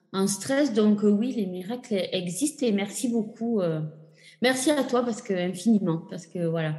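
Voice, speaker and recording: Ordinary pitch variation marks this woman's fairly high voice. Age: 40s. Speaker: patient sharing her fertility journey. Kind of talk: testimony. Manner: halting.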